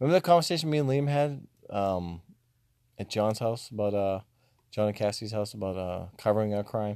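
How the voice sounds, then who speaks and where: In a very clean recording with a silent background, a man mumbles at a fairly quick pace with lively intonation. His voice is fairly low, with a dark, mellow tone. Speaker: podcast co-host. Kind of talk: casual chat. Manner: mumbling.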